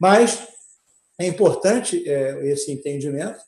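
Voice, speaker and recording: Somewhat breathy, a man with a fairly high voice speaks at a moderate pace. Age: 60s. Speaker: lawyer. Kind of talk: online panel discussion. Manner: halting, many fillers and restarts.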